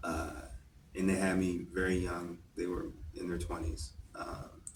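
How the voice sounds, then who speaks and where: A man speaks at a fairly slow pace amid audible room echo. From California, moved around as a child. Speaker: poet. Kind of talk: interview. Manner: casual, many fillers.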